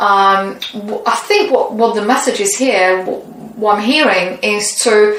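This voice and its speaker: With a non-native accent, a woman speaks fairly slowly at a fairly high pitch with ordinary pitch variation. Noticeable background noise and audible room echo are in the recording. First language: not English. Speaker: tarot reader. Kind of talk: tarot reading. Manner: halting.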